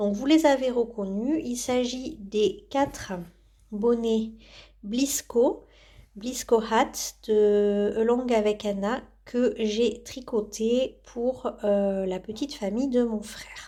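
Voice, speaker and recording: Fairly high female voice with a dark, mellow tone at a very slow pace, in a very clean recording with a silent background. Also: ordinary pitch variation. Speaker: knitting vlogger. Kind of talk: casual vlog chat. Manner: hesitant, many filler sounds.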